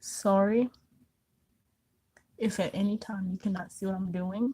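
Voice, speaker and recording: A woman speaks quietly and somewhat breathily at a fairly slow pace, with a medium pitch and a dark, mellow tone. Her intonation is monotone and flat, and the sound is dry and close with no echo. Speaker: beauty vlogger. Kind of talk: makeup tutorial chat. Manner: quiet, concentrating.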